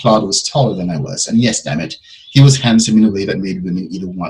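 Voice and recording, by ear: A natural voice reads a text aloud.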